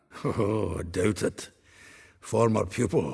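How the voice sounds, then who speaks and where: A man uses a raspy, put-on character voice, pitched fairly low. He speaks at a fairly slow pace. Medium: video game. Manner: chatty, hearty, laughing.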